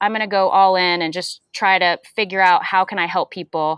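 A woman speaks in a normal speaking voice at a moderate pace. Her pitch is medium, with ordinary pitch variation. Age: 40s. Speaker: strength and fitness coach. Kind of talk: casual chat.

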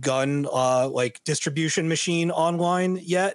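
An ordinary speaking voice at a moderate pace with ordinary pitch variation, in a very clean recording with a silent background. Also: man. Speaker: video game podcast co-host. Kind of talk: casual chat.

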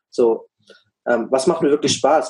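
Here a man talks at a fairly quick pace with a fairly high pitch. His tone is dark and mellow. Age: 20s. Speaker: business consultant for coaches. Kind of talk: casual interview.

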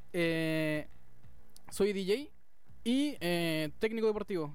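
A man speaks with a Chilean accent. His voice sits high in pitch. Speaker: DJ and radio presenter. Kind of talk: casual chat.

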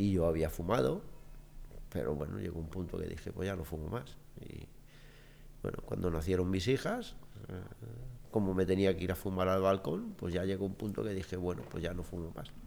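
A man's very deep, low voice at a moderate pace, with ordinary pitch variation, long, frequent pauses and audible room echo. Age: 60s. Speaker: interview guest. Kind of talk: casual chat.

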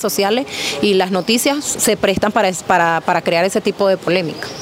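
Medium-pitched female voice with ordinary pitch variation, under noticeable background noise. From Venezuela, Punto Fijo, Falcón coast. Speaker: Venezuelan migrant. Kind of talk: interview.

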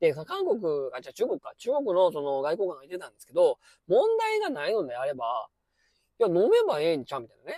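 A man with a Kansai accent speaks at a very fast pace in a high pitch with very wide pitch swings, a dark, mellow tone and big swings in loudness, the sound dry and close with no echo. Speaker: former high school science teacher, podcaster. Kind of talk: casual monologue commentary. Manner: filler-heavy, conversational.

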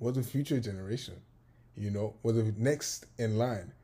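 Somewhat breathy and dark, mellow in tone, a man speaks at medium pitch with fairly even intonation in a very clean recording with a silent background. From Nigeria (Lagos). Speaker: podcast co-host. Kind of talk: casual chat.

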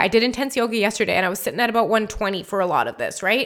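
A woman's high-pitched voice, bright and sharp in tone, on a very clean recording with a silent background. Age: 30s. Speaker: podcast host and health coach. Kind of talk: solo educational podcast. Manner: casual, conversational with fillers.

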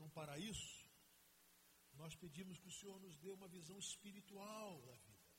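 With audible room echo around him, a man talks at a high pitch and a moderate pace, leaving long, frequent pauses. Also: ordinary pitch variation. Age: 50s. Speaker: pastor. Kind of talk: sermon.

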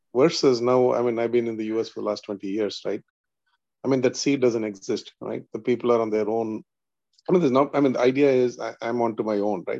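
Against a quiet background, a man with an Indian accent speaks very fast in a dark, mellow tone with fairly even intonation. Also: medium pitch for a man. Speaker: spiritual seeker in study group. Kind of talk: religious study discussion.

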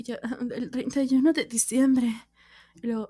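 This woman's voice sits high in pitch. Its tone is dark and mellow. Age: 20s. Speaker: podcaster. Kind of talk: casual solo monologue. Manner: animated.

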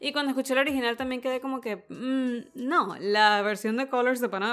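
Music plays in the background as a woman speaks with a Venezuelan accent. She keeps a moderate pace and fairly even intonation. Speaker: podcast co-host. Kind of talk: casual chat.

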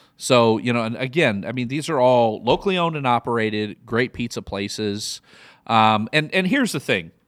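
The speaker uses lively intonation at a moderate pace, with a Midwestern accent. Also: man, medium pitch for a man, very clean recording, silent background. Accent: Midwest American. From US Midwest. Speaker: podcast host. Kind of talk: casual chat, comedic banter.

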